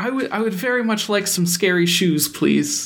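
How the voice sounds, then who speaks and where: Moderate pace and middle pitch in a put-on character voice. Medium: actual play. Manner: fawning, flustered, stammering.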